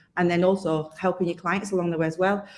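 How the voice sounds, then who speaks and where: With a Yorkshire accent, a woman talks at a medium pitch. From Yorkshire, northern England. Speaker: accountant and software company specialist, webinar host. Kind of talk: live-streamed webinar interview.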